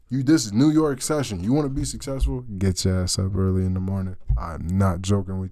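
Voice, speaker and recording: This man's voice has a dark, mellow tone and very wide pitch swings at a fairly quick pace. Audible room echo surrounds him. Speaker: amateur forex trader, YouTuber. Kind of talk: casual screen-share trade breakdown. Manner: animated, halting with repeats; loud. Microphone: cheap USB snowball mic.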